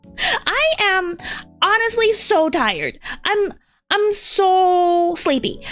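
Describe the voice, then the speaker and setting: A woman is shouting. Her pace is very slow. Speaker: vtuber streamer. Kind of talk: casual livestream chat while drawing. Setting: livestream. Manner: loud, screaming; energetic.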